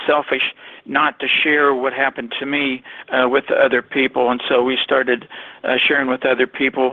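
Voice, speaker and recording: A man with an American accent, medium pitch, monotone, flat intonation and very even loudness, over noticeable background noise. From Ohio. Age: 60s. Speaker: network marketer. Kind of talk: testimony. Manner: halting, many fillers.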